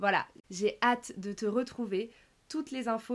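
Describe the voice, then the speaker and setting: A woman with a fairly high voice speaks at a moderate pace, her intonation fairly even. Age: 20s. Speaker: life coach and podcaster. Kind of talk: solo podcast monologue.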